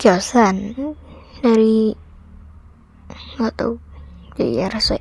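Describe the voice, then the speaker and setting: Over noticeable background noise, a woman speaks quietly. Her pitch is fairly high and her intonation fairly even. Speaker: gaming youtuber. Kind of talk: gameplay commentary. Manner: casual, chatty.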